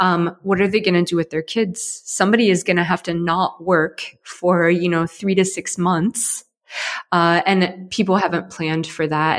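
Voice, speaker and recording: Speaking at a moderate pace, a woman with fairly low pitch and fairly even intonation has an unremarkable speaking voice. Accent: American. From US, Ohio. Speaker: startup founder and CEO. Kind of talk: interview.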